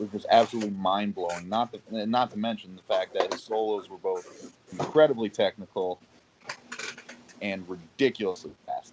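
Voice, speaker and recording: A man with fairly low pitch speaks at a moderate pace with fairly even intonation. Noticeable background noise is present. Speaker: ring announcer. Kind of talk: casual podcast interview talk about music.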